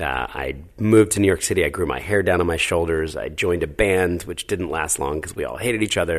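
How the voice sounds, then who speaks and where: With an American accent and vocal fry, a man talks in a very deep, low pitch at a very fast pace with hardly any pauses. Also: ordinary pitch variation. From New Jersey. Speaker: charity founder. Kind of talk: interview.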